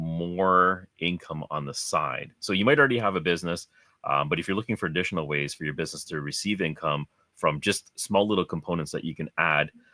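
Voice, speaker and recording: Fairly quick speech with ordinary pitch variation, dry and close with no echo, over music in the background. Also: man. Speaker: crypto mining YouTuber and podcast co-host. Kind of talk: casual chat. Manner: hesitant, many fillers.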